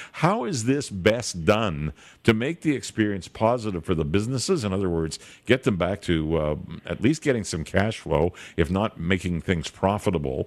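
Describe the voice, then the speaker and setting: A man with a normal speaking voice talks with lively intonation on a very clean recording with a silent background. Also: fairly low pitch for a man, moderate pace. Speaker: radio host. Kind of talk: radio interview.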